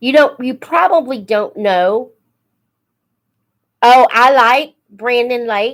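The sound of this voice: With lively intonation, a woman talks at a slow pace.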